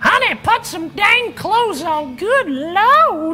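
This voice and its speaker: A woman puts on a squeaky character voice at an extremely high pitch, swinging very widely in pitch. She speaks at a very slow pace while music plays clearly in the background. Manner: scolding.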